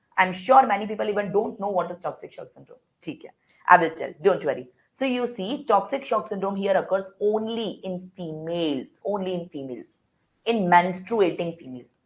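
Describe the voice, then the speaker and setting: A woman with an Indian accent speaks at a fairly quick pace, her medium-pitched, somewhat breathy voice moving with lively intonation and big swings in loudness. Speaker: medical lecturer. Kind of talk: online lecture. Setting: online class. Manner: fast.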